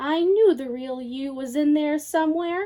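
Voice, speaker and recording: In a put-on character voice, the speaker uses a gentle tone at a moderate pace. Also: woman. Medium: read story. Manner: gentle, bright.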